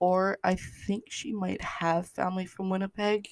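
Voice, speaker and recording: In a western Canadian accent, a woman talks at a fairly slow pace with flat, monotone intonation, the sound dry and close with no echo. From Canada, British Columbia. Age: 20s. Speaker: podcast host. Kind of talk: casual monologue. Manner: halting.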